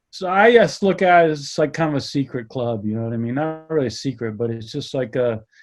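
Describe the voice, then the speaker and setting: A man's intonation is lively, with music playing in the background. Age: 60s. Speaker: skateboarder. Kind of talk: interview. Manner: halting.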